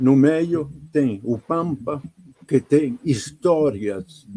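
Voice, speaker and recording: A man with an Italian accent speaks at a medium pitch, his dark, mellow tone carrying ordinary pitch variation. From Italy. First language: Italian (speaking Portuguese). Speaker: painter. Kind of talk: interview.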